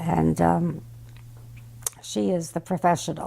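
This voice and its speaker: A woman talks at a fairly slow pace in a New York accent. The recording is very clean, with a silent background. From New York, Brooklyn. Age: 90s. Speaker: great-grandmother. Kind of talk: family memoir talk.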